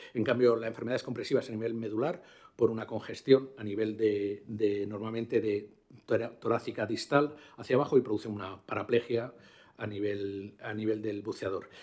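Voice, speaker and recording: A man's dark, mellow tone at a medium pitch and a fairly quick pace. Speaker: diving medicine doctor. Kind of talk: conference talk. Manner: fast.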